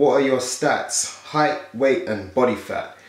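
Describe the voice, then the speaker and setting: A man talks at a very slow pace. Audible room echo is present against a quiet background. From South London, England; London. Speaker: fitness youtuber and bodybuilder; fitness youtuber. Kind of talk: casual Q&A vlog. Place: home room.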